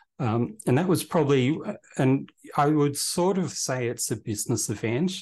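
Talking at a moderate pace, a man with an Australian accent uses lively intonation. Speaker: events company director. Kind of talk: interview.

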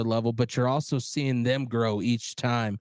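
A plain, everyday voice, a man's at medium pitch, moves at a moderate pace with fairly even intonation, recorded very cleanly against a silent background with a dry, close sound and no echo. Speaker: podcast host and DJ. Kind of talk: casual chat.

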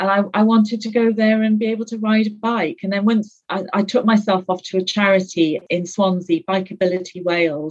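Somewhat breathy, a woman with a British accent speaks at a fairly quick pace with fairly even intonation. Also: medium pitch for a woman, hardly any pauses. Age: 50s. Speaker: guest sharing weight-loss story. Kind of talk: casual interview.

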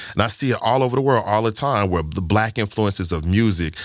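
On a very clean recording with a silent background, a man with a Southern US accent speaks in a fairly low pitch with ordinary pitch variation. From Arkansas, US South. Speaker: filmmaker. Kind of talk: casual chat.

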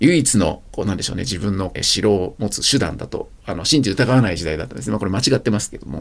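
A man's fairly low voice at a very fast pace, with lively intonation and big swings in loudness, against noticeable background noise. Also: hardly any pauses. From rural Japan. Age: 50s. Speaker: startup CEO. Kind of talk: interview.

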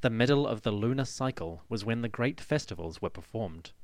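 On a very clean recording with a silent background, a man uses an ordinary speaking voice of medium pitch with lively intonation. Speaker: podcast host. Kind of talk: history documentary narration. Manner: measured, formal, steady storytelling pace; clear, authoritative, explanatory.

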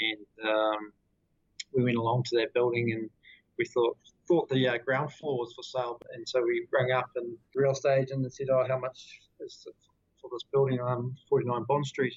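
With a New Zealand accent, the speaker talks at a moderate pace in a somewhat breathy voice with monotone, flat intonation. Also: man, medium pitch for a man. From New Zealand, Queenstown. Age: 30s. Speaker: company director. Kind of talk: interview.

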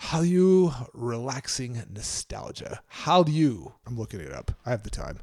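A man with a normal speaking voice talks at a fairly slow pace at a medium pitch, with lively intonation. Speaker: podcast co-host. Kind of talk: casual podcast chat, solo segment. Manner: jokey, self-deprecating.

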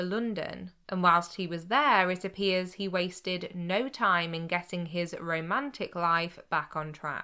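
A woman in a British accent speaks fairly slowly with hardly any pauses, using a medium pitch, ordinary pitch variation, and a bright, sharp, serious tone. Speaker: podcast host. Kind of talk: true-crime narration, scripted storytelling. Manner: measured, steady storyteller pace; sombre and serious, with a hint of disapproval.

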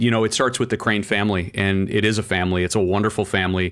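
Speech comes at a fairly quick pace in a flat monotone, recorded very cleanly against a silent background. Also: man. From Canada. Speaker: automotive trade publisher and journalist. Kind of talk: interview.

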